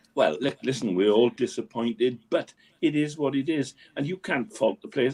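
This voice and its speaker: The recording is dry and close, with no echo. A man with a Welsh accent talks at a moderate pace. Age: 70s. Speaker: local sports correspondent. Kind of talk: casual chat.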